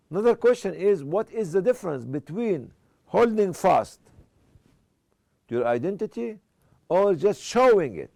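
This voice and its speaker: Using an Egyptian accent, a man with a high pitch and a dark, mellow tone swings his pitch very widely and leaves long, frequent pauses. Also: moderate pace. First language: Arabic. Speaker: Islamic speaker. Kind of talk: lecture.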